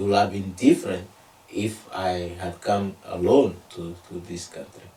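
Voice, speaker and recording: Ordinary pitch variation comes with a Togolese accent. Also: man. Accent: Togolese (West African francophone) English. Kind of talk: interview. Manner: halting, many fillers.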